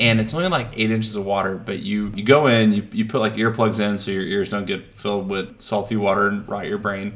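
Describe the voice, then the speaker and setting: The man has an ordinary speaking voice and fairly even intonation. He moves at a fairly quick pace with hardly any pauses. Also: fairly low pitch for a man. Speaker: husband, guest. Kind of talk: casual chat.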